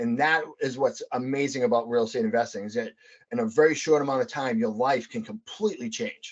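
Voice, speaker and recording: In a Boston accent, the speaker talks at a fairly quick pace with an animated tone and lively intonation. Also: man, fairly high pitch for a man. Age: 40s. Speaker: real estate investor, Air Force veteran. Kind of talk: podcast interview.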